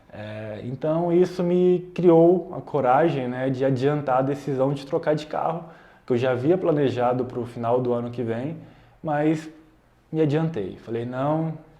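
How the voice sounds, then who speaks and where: Amid audible room echo, a man with a fairly high pitch and a dark, mellow tone speaks at a fairly slow pace with ordinary pitch variation. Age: 20s. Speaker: YouTuber, software developer. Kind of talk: casual vlog explanation. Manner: casual, conversational.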